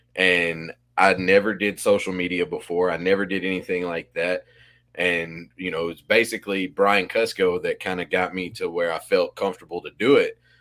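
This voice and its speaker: With an Arkansas accent, a man speaks in a very deep, low pitch. His intonation is fairly even, and the recording is very clean with a silent background. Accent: Arkansas drawl. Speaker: podcast co-host, reptile breeder. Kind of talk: podcast conversation.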